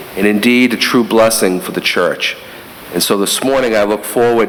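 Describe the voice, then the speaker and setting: A man with a Boston accent speaks at a medium pitch with ordinary pitch variation, amid audible room echo and noticeable background noise. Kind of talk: homily. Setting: church during Mass.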